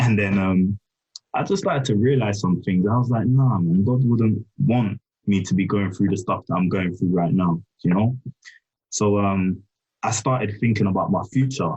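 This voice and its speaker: In a London accent, this voice has a dark, mellow tone, a somewhat breathy quality, a moderate pace, ordinary pitch variation and very even loudness. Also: man, fairly low pitch for a man. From south London, England. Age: 20s. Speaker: data scientist. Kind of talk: casual chat.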